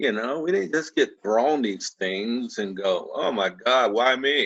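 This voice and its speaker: A man's ordinary speaking voice, medium in pitch, at a fairly slow pace with lively intonation. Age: 60s. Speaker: podcast guest. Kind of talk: casual conversation.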